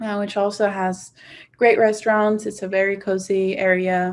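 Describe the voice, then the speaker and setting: A woman with a Swedish accent speaks in a medium pitch at a moderate pace with monotone, flat intonation, in a very clean recording with a silent background. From Sweden, Stockholm. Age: 20s. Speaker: university student. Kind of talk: casual testimonial.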